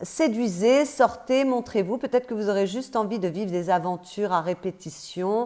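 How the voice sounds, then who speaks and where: A woman's dark, mellow tone at medium pitch, with ordinary pitch variation and a moderate pace. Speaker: tarot card reader. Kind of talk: intuitive tarot reading. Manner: hesitant, many fillers.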